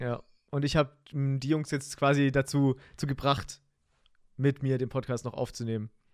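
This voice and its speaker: Flat, monotone intonation runs through speech delivered at a moderate pace. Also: man, fairly high pitch for a man. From Germany, Heidenheim (Swabia). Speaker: podcast host, streamer. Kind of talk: casual chat. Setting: home streaming room.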